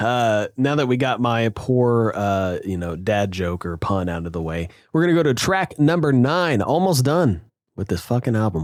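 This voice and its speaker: Recorded very cleanly with a silent background, a man at a medium pitch speaks at a moderate pace with very wide pitch swings. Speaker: music podcast co-host. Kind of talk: casual chat. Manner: animated.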